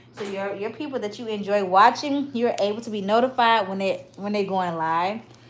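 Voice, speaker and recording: A woman's fairly high voice in a Southern US accent at a very fast pace, with noticeable background noise. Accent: Southern, country. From US South, Mississippi. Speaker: hair stylist and parent livestreamer. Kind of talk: livestream hair tutorial. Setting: livestream at home. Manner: casual, chatty.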